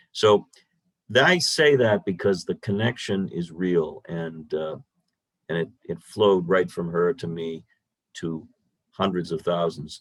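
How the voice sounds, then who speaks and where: With a very deep, low pitch and ordinary pitch variation, a man speaks at a fairly slow pace, pausing long and often. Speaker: radio host. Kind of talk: talk to a club meeting. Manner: loud.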